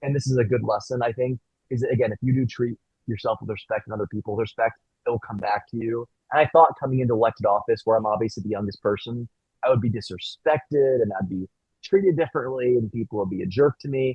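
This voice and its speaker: Here a man of medium pitch talks at a very fast pace. His pitch variation is ordinary. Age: 20s. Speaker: city council member. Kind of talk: panel discussion.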